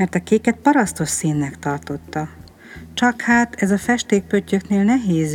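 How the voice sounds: The clip has a natural reading voice. Its intonation is lively.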